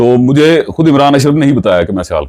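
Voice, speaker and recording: This man's voice has a dark, mellow tone. He speaks at a moderate pace. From Pakistan, Sialkot (Punjab). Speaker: showbiz news vlogger. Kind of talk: vlog commentary.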